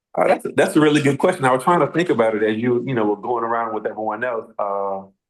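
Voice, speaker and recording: A man with an American accent at a medium pitch, ordinary pitch variation, and a very fast pace. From Atlanta, Georgia, US South. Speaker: support group member. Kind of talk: casual chat. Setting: video call.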